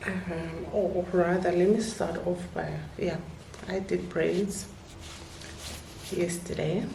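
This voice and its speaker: A woman at a very slow pace, with long, frequent pauses, audible room echo and noticeable background noise. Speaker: vlogger. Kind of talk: casual vlog talk. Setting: at home. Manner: whispering.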